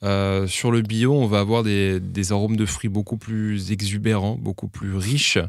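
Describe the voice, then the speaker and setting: This man's voice sits fairly low, moving at a fairly slow pace in a flat monotone with hardly any pauses, on a very clean recording with a silent background. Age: 30s. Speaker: champagne house director. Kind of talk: podcast interview. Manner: hesitant, many fillers.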